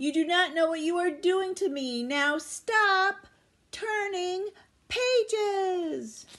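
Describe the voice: In a put-on character voice with a fairly bright tone, a woman speaks at a slow pace, her pitch extremely high with ordinary variation.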